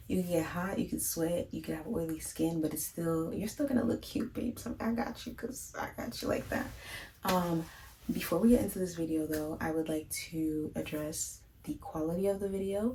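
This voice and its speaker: Soft-spoken and fairly low-pitched, a woman talks at a moderate pace with lively intonation amid noticeable background noise. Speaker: beauty vlogger. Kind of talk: tutorial. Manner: calm.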